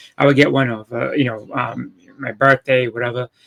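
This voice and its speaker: In a Boston accent, a man speaks at medium pitch with ordinary pitch variation. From Boston, Massachusetts. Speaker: comic collector. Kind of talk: casual interview chat. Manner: halting, many fillers.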